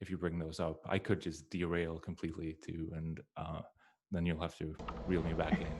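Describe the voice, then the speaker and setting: A man speaks with a Swedish accent. His very deep, low voice has monotone, flat intonation. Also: moderate pace. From Sweden. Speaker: game music composer. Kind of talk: presentation. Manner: halting, many fillers.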